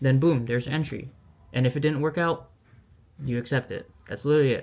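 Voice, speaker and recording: A man talks at a very fast pace. His pitch is fairly high, and his intonation is fairly even. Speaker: day trader. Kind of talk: casual talk to camera. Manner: stuttering.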